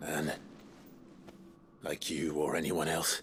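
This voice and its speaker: A man puts on a character voice, very deep and low in pitch. It comes out raspy over clear background noise. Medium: video game. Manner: calm, measured.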